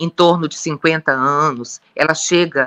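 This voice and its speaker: A woman with a very deep, low pitch speaks at a moderate pace in a bright, sharp tone, the sound dry and close with no echo and the recording very clean against a silent background. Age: 60s. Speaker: gynecologist. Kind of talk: interview.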